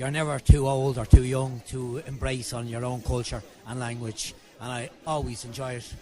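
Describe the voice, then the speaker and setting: In an Irish accent, a man talks at a moderate pace in a medium pitch with fairly even intonation. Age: 60s. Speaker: audience member. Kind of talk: vox pop interview. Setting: live gig venue.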